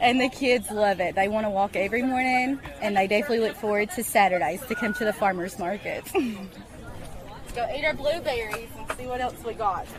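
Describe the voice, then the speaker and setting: A woman talks at a fairly quick pace with a fairly high pitch and ordinary pitch variation. Crowd noise can be heard in the background. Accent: Appalachian. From eastern Kentucky, Appalachia. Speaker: parent at farmers market. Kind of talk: radio interview.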